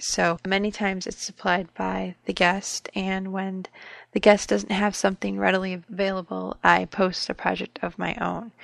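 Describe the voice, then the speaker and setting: A woman's voice at a moderate pace, dry and close with no echo. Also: quiet background. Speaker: craft podcast host. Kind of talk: scripted intro.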